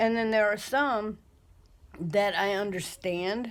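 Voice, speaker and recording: Talking at a very slow pace, a woman uses a medium pitch with ordinary pitch variation. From United States. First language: not English. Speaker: vlogger. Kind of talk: casual monologue. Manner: hesitant, many fillers.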